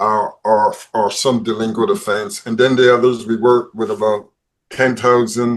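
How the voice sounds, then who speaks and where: A man with a Barbadian accent speaks in a medium pitch. His pace is fairly slow, with ordinary pitch variation. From Barbados. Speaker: probation service head. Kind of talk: panel interview. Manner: repeats words often.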